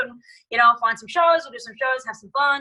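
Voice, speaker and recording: A woman with an Australian accent speaks at a very fast pace in a bright, sharp tone. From Australia (Tasmania-born, grew up travelling all over). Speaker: singer-songwriter. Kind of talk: interview conversation.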